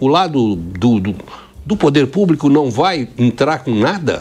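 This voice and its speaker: A man talks at a very slow pace. His pitch sits at medium, with very wide swings. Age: 70s. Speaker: restaurant co-owner. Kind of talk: interview.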